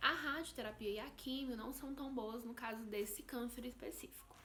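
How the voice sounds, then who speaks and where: Audible room echo surrounds a woman's fairly high voice, which shows ordinary pitch variation. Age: 20s. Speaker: vlogger. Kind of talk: personal testimony vlog.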